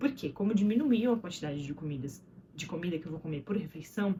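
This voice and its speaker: Amid noticeable background noise, a woman with a medium-pitched voice speaks fairly quickly, her pitch swinging very widely. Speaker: vlogger and mother. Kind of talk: casual vlog monologue. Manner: fast; words slurring together.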